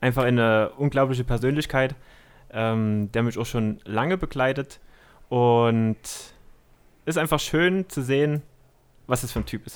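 At a fairly slow pace with long, frequent pauses and ordinary pitch variation, the voice sits in a very clean recording with a silent background. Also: man, medium pitch for a man. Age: 20s. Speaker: guest, police officer. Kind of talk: casual chat.

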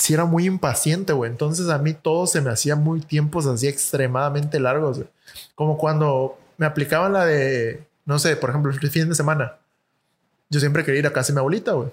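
A man with a Mexican accent speaks fairly quickly in a fairly high, somewhat breathy voice, his loudness very even and his intonation fairly even. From Mexico. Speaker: podcast co-host. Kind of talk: casual chat. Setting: studio.

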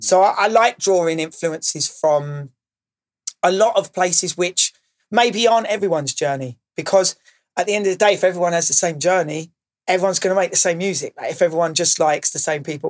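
A man with a southern English accent speaks at a fairly quick pace in a high pitch, the sound dry and close with no echo. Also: ordinary pitch variation. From Kent, England (Maidstone). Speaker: DJ and music producer. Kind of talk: interview.

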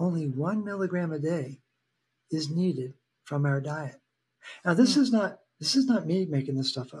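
Lively intonation marks a man's speech, which sits at a fairly high pitch. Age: 60s. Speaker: health educator. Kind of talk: casual interview conversation.

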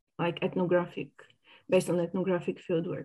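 A dark, mellow voice with a Bulgarian accent over a quiet background. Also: woman. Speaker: sociology academic. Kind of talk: academic interview.

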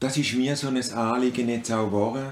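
Speaking with a Swiss accent, a man keeps a medium pitch and fairly even intonation. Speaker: father of the host. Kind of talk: casual chat. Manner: halting.

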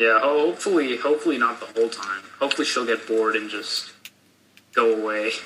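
Over noticeable background noise, a man at medium pitch speaks fairly quickly with ordinary pitch variation. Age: 20s. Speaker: college student. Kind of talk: casual chat.

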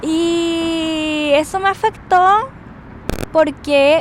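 Noticeable background noise surrounds a woman speaking at an extremely high pitch. Her intonation is lively. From Chile. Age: 30s. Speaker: podcaster. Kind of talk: personal monologue. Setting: outdoors on street. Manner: loud at times.

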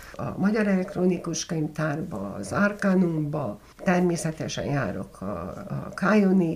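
With vocal fry and lively intonation, a woman speaks at a very slow pace. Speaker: journalist and documentary maker. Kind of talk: interview. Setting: at her home.

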